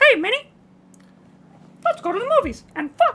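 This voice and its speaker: An extremely high-pitched, cartoonish character voice swoops through very wide pitch swings. It moves at a moderate pace. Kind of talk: cartoon voice.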